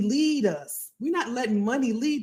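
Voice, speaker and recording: The voice is animated and somewhat breathy, with very wide pitch swings. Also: woman. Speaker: career coach. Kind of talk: livestream talk. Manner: fast.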